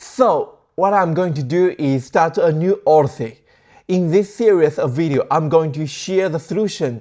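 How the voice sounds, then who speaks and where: A man with a non-native accent speaks at a high pitch in a dark, mellow tone. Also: ordinary pitch variation, moderate pace, quiet background. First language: not English. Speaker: tech tutorial creator. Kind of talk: tutorial. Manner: casual, halting.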